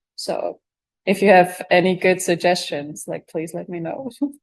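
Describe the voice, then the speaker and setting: A woman speaks with a non-native accent. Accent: noticeable foreign. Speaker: bee researcher. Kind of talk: audience Q&A answers. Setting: live event with audience and Zoom stream. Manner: hesitant, many filler words.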